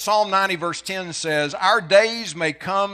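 On a very clean recording with a silent background, a man speaks with a raised, projected voice, high in pitch and bright, sharp in tone, with lively intonation at a fairly slow pace. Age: 60s. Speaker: preacher. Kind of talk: sermon.

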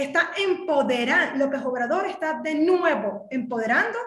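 In a Venezuelan accent, a woman with a high pitch speaks in an animated tone at a fairly slow pace, her intonation lively and the room echo audible. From Caracas, Venezuela. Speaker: political commentary podcast co-host. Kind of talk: political discussion.

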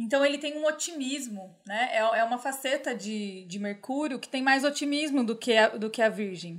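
Recorded very cleanly with a silent background, a woman talks at a high pitch. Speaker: podcast host and astrologer. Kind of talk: casual chat. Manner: fast.

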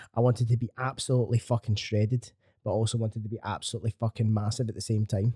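A man with a medium pitch and a dark, mellow tone speaks somewhat breathily. The sound is dry and close, with no echo. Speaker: fitness coach, podcast host. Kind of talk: casual chat. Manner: casual, swearing, banter.

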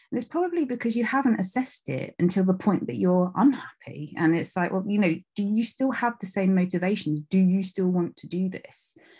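This woman's voice sits at a medium pitch and has a dark, mellow, somewhat breathy tone. She talks at a fairly quick pace with lively intonation. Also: hardly any pauses, quiet background. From England, North Devon. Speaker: TV producer and journalist. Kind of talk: interview.

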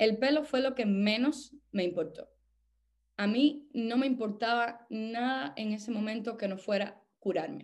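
This woman's pitch moves in an ordinary way. She delivers her words fairly slowly. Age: 30s. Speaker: actress and cancer survivor. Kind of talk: testimony. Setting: voice message. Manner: halting.

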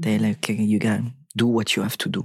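Speaking with a French accent, a man uses fairly even intonation at a fairly low pitch in a dry, close sound with no echo. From southern France. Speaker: actor and stuntman. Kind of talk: casual interview. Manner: halting, repeats words.

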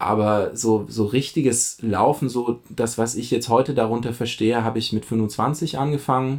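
At a moderate pace, a man of medium pitch speaks in an ordinary speaking voice with fairly even intonation. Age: 30s. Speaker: amateur runner. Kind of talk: casual chat.

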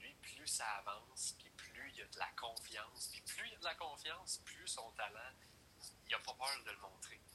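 Over noticeable background noise, a man talks at a medium pitch and a moderate pace. His intonation is lively, and his loudness swings a lot. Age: 30s. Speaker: hockey commentator. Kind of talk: casual sports chat.

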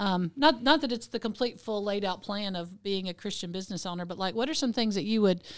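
A woman speaks at a medium pitch with ordinary pitch variation. The recording is very clean, with a silent background. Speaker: pastor and co-host. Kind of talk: casual podcast conversation. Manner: loud, lively.

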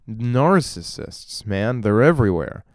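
Speaking very slowly at a medium pitch, a man is heard in a very clean recording with a silent background. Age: 20s. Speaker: solo podcaster. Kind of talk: casual monologue. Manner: rambling with frequent laughs.

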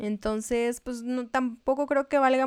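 A woman speaks in a northern Mexican accent with monotone, flat intonation, recorded very cleanly against a silent background with a dry, close sound and no echo. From northern Mexico. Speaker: podcast co-host. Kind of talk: casual chat.

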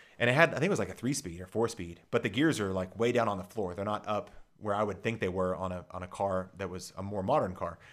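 On a very clean recording with a silent background, a man with an American accent and a fairly low pitch talks at a very fast pace with hardly any pauses. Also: ordinary pitch variation. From Dallas, Texas. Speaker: podcast storyteller. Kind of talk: personal storytelling monologue.

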